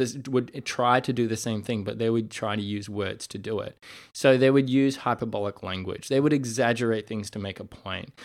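In a very clean recording with a silent background, a man with an unremarkable speaking voice speaks at medium pitch and a moderate pace with fairly even intonation. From Canada. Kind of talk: solo podcast monologue, reflective teaching. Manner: casual, conversational.

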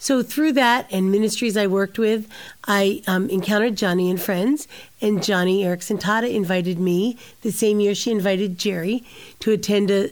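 The talking moves along fairly quickly. It is a normal speaking voice whose pitch varies in an ordinary way. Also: woman. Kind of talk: interview.

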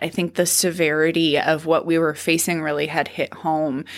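A woman's fairly low pitch at a moderate pace, in an Upper Midwest accent. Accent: Upper Midwest American. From North Dakota (near Dodge). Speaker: state senator. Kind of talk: interview. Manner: gestures a lot while talking.

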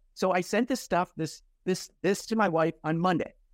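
Vocal fry runs through this man's voice. The audio is dry and close, without any echo. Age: 50s. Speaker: senior care business owner. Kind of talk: interview. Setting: video call. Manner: halting.

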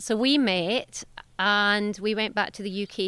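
A woman speaks with a Scottish accent at a medium pitch. Her tone is bright and sharp. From southwest Scotland. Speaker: veterinarian and clinic owner. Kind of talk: casual interview chat. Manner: animated, warm, candid.

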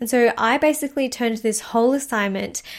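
A woman with a fairly high voice talks at a fairly quick pace, with ordinary pitch variation. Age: 20s. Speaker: spiritual mindset coach and podcast host. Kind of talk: casual solo monologue. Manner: soft-spoken; timid.

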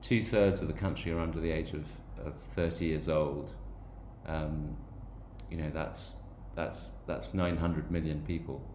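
With audible room echo, a man with a very deep, low voice and vocal fry speaks at a fairly slow pace with lively intonation and long, frequent pauses. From Ireland/England (Irish and English background). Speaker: podcast host. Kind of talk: personal monologue podcast. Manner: hesitant with frequent fillers and repetitions.

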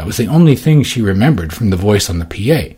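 The words are read out in a plain way. It is simple reading aloud.

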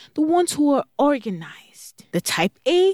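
A woman speaks with a Nigerian accent. Her pitch swings very widely. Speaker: parent coach podcast host. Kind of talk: solo podcast monologue. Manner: enthusiastic.

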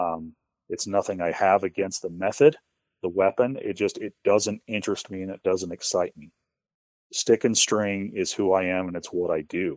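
In a plain, everyday voice with an American accent, a man speaks at a moderate pace and a fairly low pitch with fairly even intonation and big swings in loudness, recorded dry and close with no echo in a very clean take against a silent background. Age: 30s. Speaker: bowhunter. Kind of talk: casual chat.

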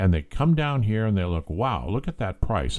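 Dark and mellow in tone, a man with an American accent speaks at a fairly low pitch with very wide pitch swings, on a very clean recording with a silent background. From California. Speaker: real estate agent and podcast host. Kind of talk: solo podcast monologue.

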